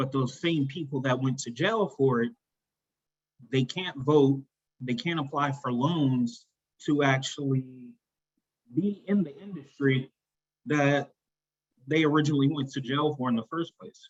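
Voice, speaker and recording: This man talks at a fairly slow pace with long, frequent pauses, his fairly high-pitched voice somewhat breathy and showing ordinary pitch variation. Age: 30s. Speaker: discussion club participant. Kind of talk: group discussion.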